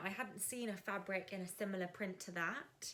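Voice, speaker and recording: The speaker talks at a moderate pace in an English accent. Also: woman. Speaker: sewing vlogger. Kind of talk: casual tutorial vlog. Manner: animated.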